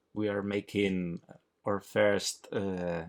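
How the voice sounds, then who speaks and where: In a very clean recording with a silent background, a man with a Spanish accent speaks at a very slow pace. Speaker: comic artist, channel co-host. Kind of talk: film audio commentary, casual chat. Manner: halting.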